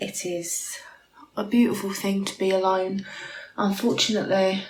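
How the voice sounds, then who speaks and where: A woman with a British accent speaks at a moderate pace with monotone, flat intonation over noticeable background noise. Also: medium pitch for a woman. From United Kingdom. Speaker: vlogger. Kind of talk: casual talk to camera.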